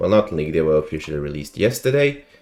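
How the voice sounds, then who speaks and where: Music plays in the background as a man speaks. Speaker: card game content creator. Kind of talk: casual commentary to camera. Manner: subdued, not loud.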